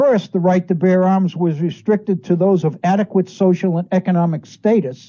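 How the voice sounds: A man speaks at a high pitch with a dark, mellow tone. His intonation is fairly even, and his pace is moderate.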